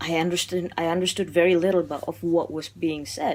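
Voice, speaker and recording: Woman's fairly low-pitched voice in an Indonesian accent at a fairly quick pace. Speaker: film reviewer. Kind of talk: casual video monologue. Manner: animated; halting.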